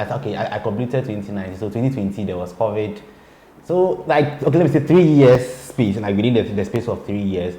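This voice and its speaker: A man talks at a very fast pace with lively intonation. Audible room echo and noticeable background noise surround him. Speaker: blogger and PR person. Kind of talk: interview. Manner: halting, repeats words; calm.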